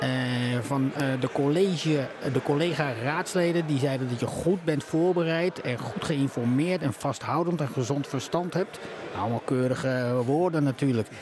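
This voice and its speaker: Against noticeable background noise, a man with a fairly high voice talks at a moderate pace with ordinary pitch variation. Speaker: podcast host. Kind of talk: political interview. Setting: live podcast recording at a media festival, bar noise.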